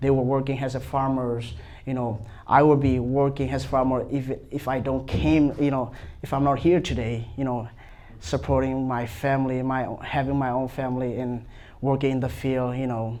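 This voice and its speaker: Audible room echo around a man's medium-pitched voice, moderate pace and fairly even intonation. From Myanmar. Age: 20s. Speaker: seminary student. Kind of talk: panel discussion. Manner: halting.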